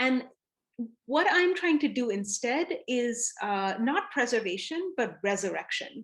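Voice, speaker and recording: In a Tamil accent, a woman speaks at a fairly slow pace with very wide pitch swings. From south India, Chennai. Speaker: artist and scholar. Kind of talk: interview talk. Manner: reflective, with many fillers.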